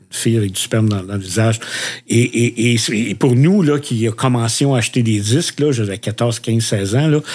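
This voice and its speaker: The speaker keeps a moderate pace and shows ordinary pitch variation. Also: man, medium pitch for a man. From Quebec, Repentigny. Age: 60s. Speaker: podcast co-host. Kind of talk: casual chat. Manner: halting, many fillers.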